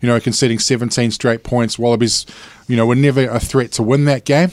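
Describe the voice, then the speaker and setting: With a New Zealand accent, a man of medium pitch talks at a fairly quick pace in fairly even intonation. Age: 40s. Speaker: sports panelist. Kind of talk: casual chat.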